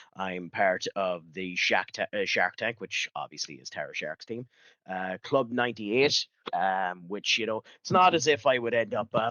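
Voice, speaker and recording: In an Irish accent, a man with a medium pitch talks at a moderate pace with lively intonation. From Ireland. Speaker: streamer. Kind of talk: casual chat. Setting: live stream.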